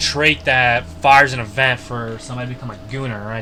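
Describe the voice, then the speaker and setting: A man with a medium pitch speaks with fairly even intonation. Noticeable background noise and audible room echo are present. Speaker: YouTube modding tutorial creator. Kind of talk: screen-share coding tutorial. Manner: fast; casual, halting with self-corrections.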